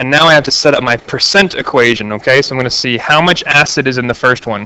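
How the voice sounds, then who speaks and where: In an unremarkable speaking voice, a man talks at a fairly quick pace and a fairly high pitch. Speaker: math teacher. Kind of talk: tutorial.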